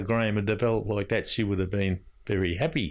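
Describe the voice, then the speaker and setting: A man is talking. His accent is Australian. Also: very clean recording, silent background. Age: 80s. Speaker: older resident and family carer. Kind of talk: interview recollection.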